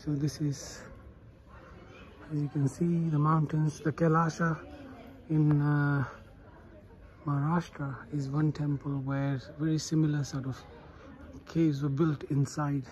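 The speech moves at a fairly slow pace with long, frequent pauses over light background noise. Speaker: travel vlogger. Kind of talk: casual vlog chat. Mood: impressed, enthusiastic. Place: street. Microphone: phone near.

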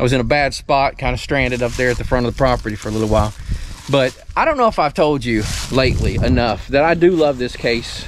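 Over light background noise, a man talks at a fairly quick pace in a dry sound with no echo. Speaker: homestead tractor owner. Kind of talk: casual vlog chat. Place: garden. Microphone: phone near.

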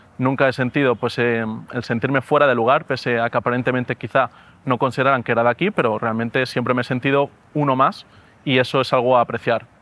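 Speaking at a very fast pace, a man holds a medium pitch with fairly even intonation. His loudness is very even, and the sound is dry with no echo. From Valencia, Spain; Spain. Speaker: doctoral student in education. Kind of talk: testimony. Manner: halting, with frequent repetitions and fillers. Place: garden.

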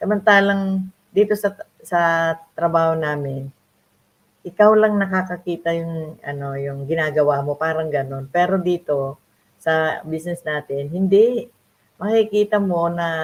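A woman with an unremarkable speaking voice at a fairly slow pace. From Philippines, Nueva Ecija (Ilocano). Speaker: online business mentor. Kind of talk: live stream interview.

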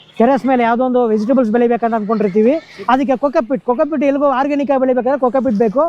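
Against noticeable background noise, a man speaks at an extremely high pitch for a man with fairly even intonation. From Karnataka, Chitradurga district. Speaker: village vlogger. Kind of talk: vlog interview.

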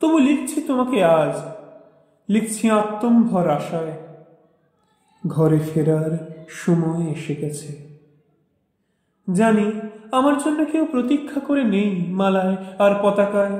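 Lively in intonation, a man talks with a high pitch. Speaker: poetry reciter. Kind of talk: poetry reading.

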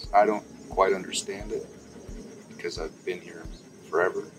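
Music plays behind a man who talks at a moderate pace. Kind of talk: interview answer. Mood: relaxed, reflective. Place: garden.

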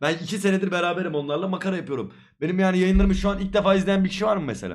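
Very fast and high-pitched, a man talks with fairly even intonation. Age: 20s. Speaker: streamer. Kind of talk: casual chat.

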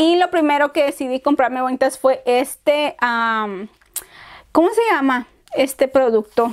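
Her tone animated and her pitch high, a woman speaks at a fairly slow pace with ordinary pitch variation against a quiet background. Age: 30s. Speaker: beauty youtuber. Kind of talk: product review haul. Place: home room. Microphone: lapel.

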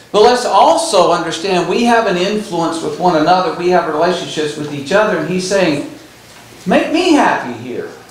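With audible room echo around him, a man speaks at a high pitch. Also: moderate pace. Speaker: Bible class teacher. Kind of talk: lecture. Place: church.

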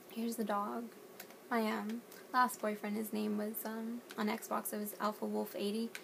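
A fairly high-pitched woman with an American accent at a fairly slow pace, amid noticeable background noise. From US South, North Carolina. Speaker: gaming YouTuber; gamer showing her builds. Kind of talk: casual gameplay walkthrough. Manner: animated. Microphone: phone near.

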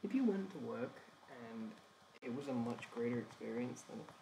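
At a fairly quick pace, a man talks in an English accent. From England. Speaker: animation streamer. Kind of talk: casual chat while working. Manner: halting.

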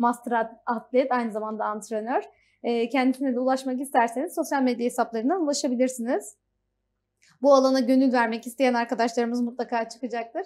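Ordinary pitch variation accompanies a fairly quick pace of speech. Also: woman. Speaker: TV show host. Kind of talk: TV interview hosting. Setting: studio. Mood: cheerful, smiling. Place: studio. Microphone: lapel.

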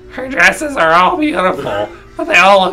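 This put-on character voice sits at a middle pitch. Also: moderate pace.

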